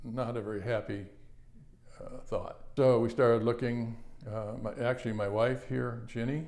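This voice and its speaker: A man's medium-pitched voice is heard with audible room echo around it. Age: 70s. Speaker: cancer patient. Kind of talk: testimony. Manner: halting.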